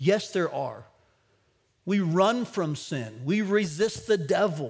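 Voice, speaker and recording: A man speaks with a quiet background. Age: 50s. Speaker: pastor. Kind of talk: sermon. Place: church.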